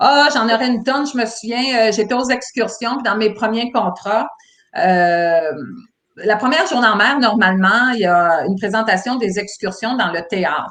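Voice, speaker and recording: A woman talks at a fairly slow pace. Her pitch is fairly high with ordinary variation. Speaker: former cruise ship employee. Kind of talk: casual interview chat. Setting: livestream video call. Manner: hesitant with many fillers.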